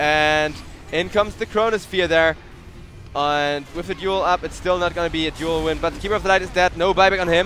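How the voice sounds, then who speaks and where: Against noticeable background noise, a man talks at a fairly quick pace with a high pitch. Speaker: esports caster. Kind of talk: live commentary. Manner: animated.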